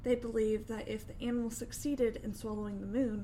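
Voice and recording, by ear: Intonation stays fairly even here. The text is read aloud in a natural voice.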